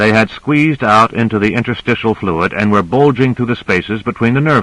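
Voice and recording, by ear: Someone reads aloud in a natural voice, the pitch varying in an ordinary way.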